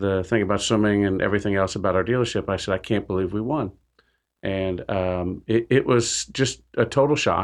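Over a quiet background, a man with a normal speaking voice and an American accent talks at a moderate pace, fairly low in pitch, with fairly even intonation. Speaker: businessman, former car dealer. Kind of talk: radio interview.

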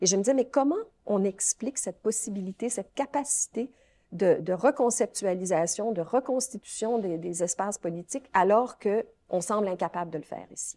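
Lively intonation and a dark, mellow tone come through at a moderate pace, the sound dry and close with no echo. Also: woman, medium pitch for a woman. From Quebec. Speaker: law professor. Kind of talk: interview. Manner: halting.

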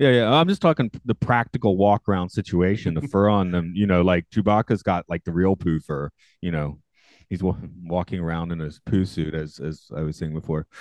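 Against a quiet background, a man with an American accent speaks at a fairly quick pace in a very deep, low pitch with ordinary pitch variation. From US South. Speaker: podcast host. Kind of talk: casual chat. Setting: video call.

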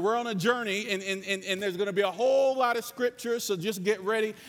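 Loud and animated, a man speaks at a very fast pace. His pitch is high. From North Carolina. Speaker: preacher. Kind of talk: sermon. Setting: stage with audience.

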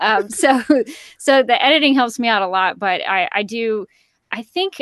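A woman speaks with a Southern US accent in a dry, close sound with no echo and a quiet background. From Alabama, US South. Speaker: voice actor, former TV news worker. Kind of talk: casual chat.

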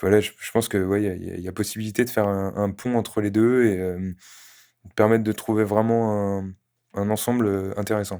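Monotone, flat intonation in a dark, mellow tone at a moderate pace, on a very clean recording with a silent background. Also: man, fairly low pitch for a man. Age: 20s. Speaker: freelance web developer. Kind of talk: casual interview.

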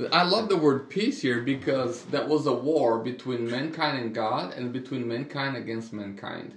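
A man speaks in an unremarkable speaking voice at a medium pitch and moderate pace. His pitch variation is ordinary, and he uses hardly any pauses. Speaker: pastor. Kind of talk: casual podcast Bible discussion.

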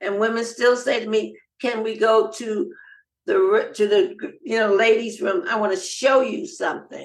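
In an American accent, a woman speaks slowly-ish in an ordinary speaking voice, her fairly high pitch carried by lively intonation. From US, Los Angeles. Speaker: nonprofit founder and cancer survivor. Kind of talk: interview.

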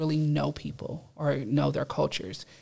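A fairly slow pace in a Californian accent. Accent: Californian American English. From Los Angeles area, California. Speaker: university student. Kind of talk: casual discussion. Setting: studio.

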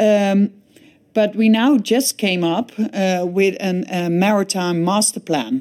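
A very slow delivery in a dark, mellow tone with a Dutch accent and ordinary pitch variation. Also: woman, medium pitch for a woman. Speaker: shipping industry association director. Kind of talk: interview. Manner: hesitant, many fillers.

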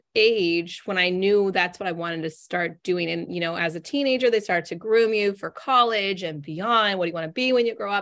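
A normal speaking voice with an American accent, ordinary pitch variation, and a very clean recording with a silent background. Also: woman. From Northern California. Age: 40s. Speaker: business coach. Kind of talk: interview conversation.

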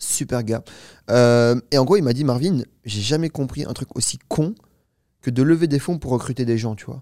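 A man's dark, mellow voice at medium pitch, moderate in pace, with ordinary pitch variation and long, frequent pauses. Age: 20s. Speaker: startup founder. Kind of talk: interview.

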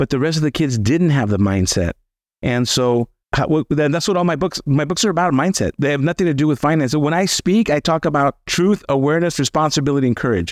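With an American accent, a man with fairly high pitch talks at a very fast pace with lively intonation and very even loudness, his sound dry and close with no echo on a very clean recording with a silent background. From Los Angeles (Boyle Heights), Southern California. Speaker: financial planner and author. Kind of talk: interview conversation.

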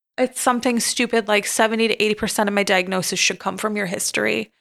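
A woman with an American accent speaks at a fairly high pitch in a monotone, flat intonation. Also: very clean recording, silent background. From Michigan, US. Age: 30s. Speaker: chiropractic physician. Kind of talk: interview about personal trauma.

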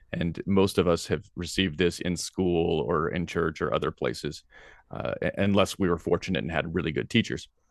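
A man's very deep, low voice with vocal fry and an American accent, at a moderate pace with ordinary pitch variation, over a quiet background. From US South, Tennessee. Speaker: philosophy professor. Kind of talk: interview. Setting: video call.

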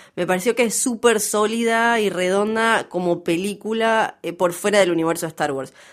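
A woman with a Rioplatense accent talks at a moderate pace and medium pitch. The recording is very clean, the background silent. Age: 30s. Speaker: podcast co-host. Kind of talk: casual chat.

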